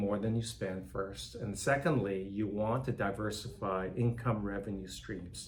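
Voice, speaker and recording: A man with a fairly low pitch and a somewhat breathy voice talks at a moderate pace with ordinary pitch variation, and audible room echo can be heard. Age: 60s. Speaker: nonprofit philanthropy director. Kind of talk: interview conversation.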